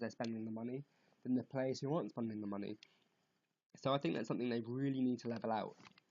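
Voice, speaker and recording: A man with a British accent talks at a very fast pace and medium pitch. His intonation is monotone and flat. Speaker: gaming youtuber. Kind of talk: casual vlog commentary. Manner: halting.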